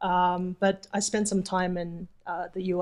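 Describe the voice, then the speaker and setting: A woman with a slight New Zealand accent speaks at a medium pitch. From New Zealand, moved from Taipei at twelve. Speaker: vacation rental host. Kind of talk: interview.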